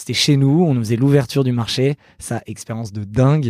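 On a very clean recording with a silent background, a man speaks at a moderate pace in a dark, mellow tone with ordinary pitch variation, the sound dry and close with no echo. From Paris region, France (Saint-Cloud). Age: 30s. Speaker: entrepreneur and company founder. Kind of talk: casual interview.

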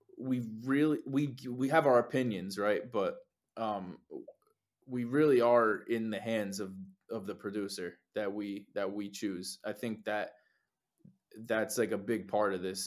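A man with a New Jersey accent speaks at a very slow pace, leaving long, frequent pauses. His voice sits at a medium pitch with ordinary pitch variation. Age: 20s. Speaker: lead singer in a band. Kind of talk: casual interview chat. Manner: laid-back, casual.

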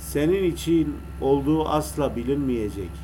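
This man speaks at a very slow pace. Room echo is audible. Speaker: radio host. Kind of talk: poetry reading on radio. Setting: radio broadcast over internet. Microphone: echo on voice, low volume due to internet.

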